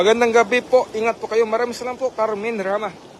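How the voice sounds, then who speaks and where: Over noticeable background noise, a man talks at a very fast pace in an extremely high pitch. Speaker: live stream commentator. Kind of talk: live stream commentary. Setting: live stream with viewers. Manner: animated.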